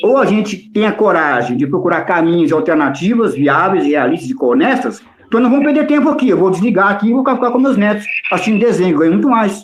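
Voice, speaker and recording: A man talks at a very fast pace with very even loudness. His pitch is high and swings very widely. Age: 60s. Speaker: political analyst. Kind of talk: heated debate; casual chat. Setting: audio chat room. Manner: animated.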